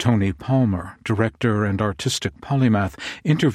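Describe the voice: Pitch varying in an ordinary way through plain reading aloud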